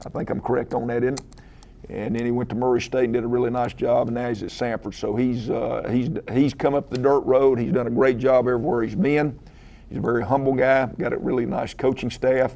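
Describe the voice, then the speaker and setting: With a Southern US accent and fairly even intonation, a man of medium pitch speaks over noticeable background noise. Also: fairly quick pace. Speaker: head football coach. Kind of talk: press conference. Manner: halting, many filler uhs.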